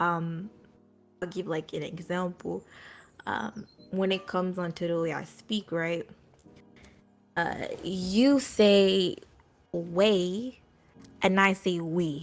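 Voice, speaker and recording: Over music in the background, a woman with an American accent speaks at a very slow pace and a medium pitch, with fairly even intonation and long, frequent pauses. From US, Jamaican family. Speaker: streamer. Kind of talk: interview. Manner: halting, many fillers.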